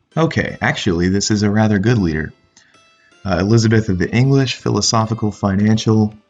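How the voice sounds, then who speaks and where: A man's voice with ordinary pitch variation, music in the background. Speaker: video game let's play creator. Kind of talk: gameplay commentary. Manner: casual, with hesitations.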